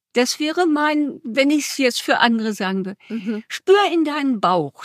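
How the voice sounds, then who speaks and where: This woman has a high pitch with very wide swings and speaks at a fairly slow pace. The recording is very clean with a silent background, and the sound is dry and close with no echo. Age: 80s+. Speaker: retiree interviewee. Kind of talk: casual chat. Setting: ice cream café. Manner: energetic.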